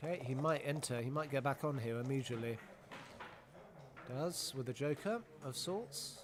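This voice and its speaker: This man's voice sits fairly high in pitch, with ordinary pitch variation. He talks at a moderate pace, leaving long, frequent pauses. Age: 50s. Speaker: backgammon commentator. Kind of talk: live commentary. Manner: animated.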